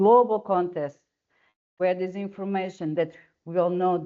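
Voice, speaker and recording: A woman speaks with a Portuguese accent. Her pitch is medium. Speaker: webinar moderator. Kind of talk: webinar introduction. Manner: halting.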